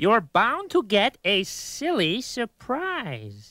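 A cartoonish character voice, fairly high in pitch, drawls along at a very slow pace. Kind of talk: rhyming children's educational video. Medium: puppet. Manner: exasperated, rhyming.

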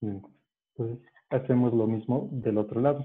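A man speaks at a fairly slow pace, his medium pitch showing ordinary variation. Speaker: origami teacher. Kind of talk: tutorial. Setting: video call.

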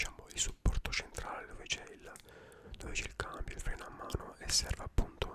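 In a relaxed tone, a man whispers. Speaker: ASMR creator. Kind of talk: ASMR show and tell, soft-spoken product demonstration. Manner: soft-spoken, slow, relaxed. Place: home room. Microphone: studio mic.

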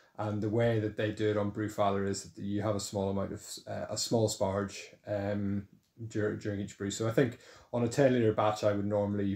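A man speaks fairly quickly in a fairly low, dark and mellow voice, with monotone, flat intonation. Room echo is audible. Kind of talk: casual tour narration. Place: home room. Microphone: phone near.

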